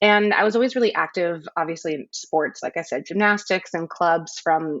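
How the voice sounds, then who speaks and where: A woman with an American accent talks at a moderate pace in a normal speaking voice, her pitch fairly low. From US, Central California. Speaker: photographer. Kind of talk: interview. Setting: podcast recording.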